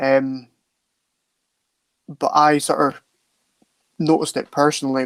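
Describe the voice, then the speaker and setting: A man with a fairly high pitch speaks in a flat monotone, the sound dry and close with no echo. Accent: Scottish Highland. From Scottish Highlands, far north. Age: 20s. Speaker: soldier and men's mental health advocate. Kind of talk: interview testimony. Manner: halting, many fillers.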